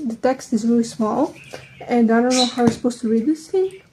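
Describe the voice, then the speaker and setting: A woman speaks with a Serbian accent. Her pitch is high, with ordinary pitch variation. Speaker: vlogger. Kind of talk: casual chat. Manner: halting.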